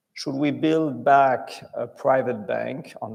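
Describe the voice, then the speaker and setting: The speaker talks at a fairly slow pace in a French accent. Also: man. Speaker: bank chief executive. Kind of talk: conference interview.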